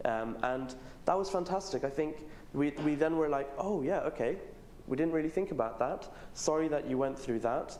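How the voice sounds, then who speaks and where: At a fairly quick pace, a man speaks with ordinary pitch variation amid audible room echo. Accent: British. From Pakistan. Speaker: student leader. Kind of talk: panel discussion. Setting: stage with audience.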